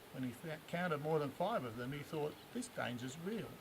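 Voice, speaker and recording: Here a man talks with an Australian accent. His pace is moderate. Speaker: bush poet. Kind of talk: poetry reading. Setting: outdoors. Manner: humorous.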